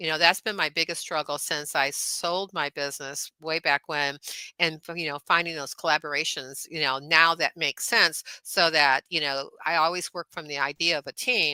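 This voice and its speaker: Fairly even intonation at a moderate pace, in a dry, close sound with no echo. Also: woman. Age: 70s. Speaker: chiropractor and wellness coach. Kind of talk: podcast interview. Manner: hesitant, many fillers.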